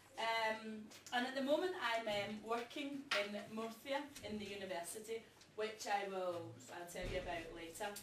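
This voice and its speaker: A woman with a Glasgow accent speaks at a moderate pace in a fairly high voice, her intonation lively, with noticeable background noise and audible room echo. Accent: Scottish (Glasgow area). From Scotland, outside Glasgow. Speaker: teacher. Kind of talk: classroom presentation. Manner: hesitant, frequent ums.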